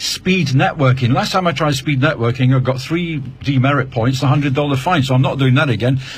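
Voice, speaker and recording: This man's voice sits fairly high in pitch and sounds somewhat breathy. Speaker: radio presenter. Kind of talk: live radio show hosting. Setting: studio. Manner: fast.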